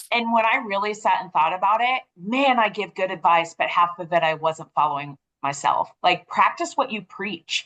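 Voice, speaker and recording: This woman's voice is loud, with a bright, sharp tone and very wide pitch swings. She talks at a moderate pace. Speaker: podcast co-host. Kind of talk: podcast interview.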